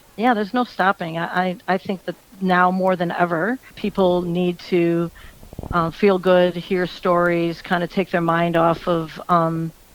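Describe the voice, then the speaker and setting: Speaking with an American accent, a woman uses a fairly low pitch and a monotone, flat intonation at a moderate pace. The sound is dry and close with no echo, though noticeable background noise is present. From US Midwest, Michigan. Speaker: country singer. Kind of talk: radio interview.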